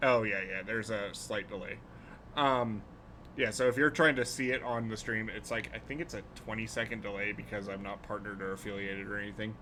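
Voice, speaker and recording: A man with an American accent speaks at a fairly quick pace and fairly low pitch. His tone is bright and sharp, and his intonation is fairly even. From US Pacific Northwest (Portland). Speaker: streamer. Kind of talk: casual chat. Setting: live stream. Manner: halting, many fillers.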